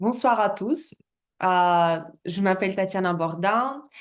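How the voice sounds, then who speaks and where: Speaking very slowly in a Russian accent, a woman holds a medium pitch with ordinary pitch variation. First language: Russian (speaking French). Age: 30s. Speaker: network marketing presenter. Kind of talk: business presentation. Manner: halting, many hesitations.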